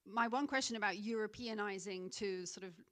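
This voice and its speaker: A woman talks at a medium pitch. Her intonation is fairly even. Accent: British. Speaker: audience member. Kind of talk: audience question.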